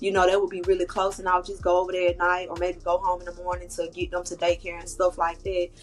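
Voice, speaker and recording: A woman's medium-pitched voice at a very fast pace, flat and monotone, with hardly any pauses and music in the background. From Georgia. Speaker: podcast guest. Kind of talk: personal testimony interview. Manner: casual, conversational.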